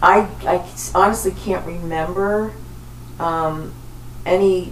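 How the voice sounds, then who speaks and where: A woman's fairly low voice against noticeable background noise. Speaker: podcast host. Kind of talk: scripted podcast intro and panel discussion.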